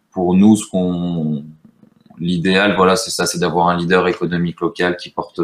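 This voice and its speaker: A man's very deep, low voice at a moderate pace. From French Basque Country, rural. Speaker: startup co-founder. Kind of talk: casual live-stream interview.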